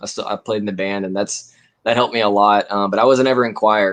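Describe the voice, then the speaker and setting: A man talks at a moderate pace in a fairly low pitch. His intonation stays fairly even. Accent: American. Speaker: singer-songwriter. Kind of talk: casual interview chat. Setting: live stream. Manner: halting, many fillers.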